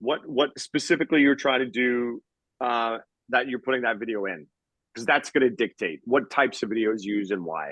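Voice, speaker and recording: An energetic, enthusiastic tone at a fairly quick pace, with ordinary pitch variation. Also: man, medium pitch for a man. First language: not English (English is his third language). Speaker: marketing video business owner, guest speaker. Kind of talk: online mastermind presentation with Q&A. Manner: fast, with false starts.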